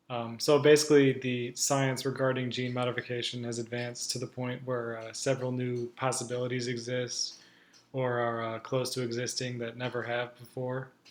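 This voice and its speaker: A man talks at a moderate pace with a medium pitch and monotone, flat intonation. Noticeable background noise sits behind him. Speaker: student. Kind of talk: class presentation. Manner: halting.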